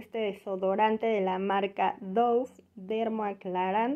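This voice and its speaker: A woman at a fairly slow pace, fairly even in intonation, against a quiet background. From Mexico. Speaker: YouTuber, mother; home vlogger. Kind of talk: shopping haul vlog. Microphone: phone near.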